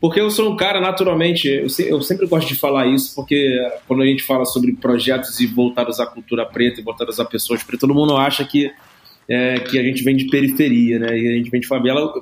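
This man talks very fast at a medium pitch. His pitch moves with ordinary variation. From Brazil, Rio de Janeiro. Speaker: entrepreneur in music and media. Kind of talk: podcast interview. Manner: casual, slangy.

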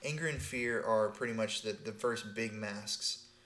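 In an ordinary speaking voice, a man with an American accent talks at a medium pitch and moderate pace with ordinary pitch variation. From Texas. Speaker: podcast co-host, spiritual teacher. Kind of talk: casual chat.

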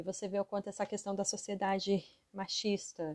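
A woman speaks at a moderate pace with a dark, mellow tone, the sound dry and close with no echo. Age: 30s. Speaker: podcast host, psychologist and mother. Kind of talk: casual monologue podcast.

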